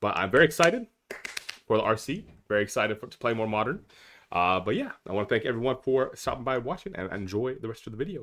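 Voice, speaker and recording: Lively intonation marks this man's medium-pitched voice. He speaks at a very fast pace. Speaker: Magic: The Gathering streamer. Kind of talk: casual gameplay commentary. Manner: casual, filler-heavy.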